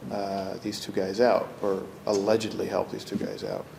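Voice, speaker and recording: A man's voice comes through audible room echo and noticeable background noise. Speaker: corrections commissioner. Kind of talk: ceremony speech. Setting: ceremony with audience. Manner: soft-spoken.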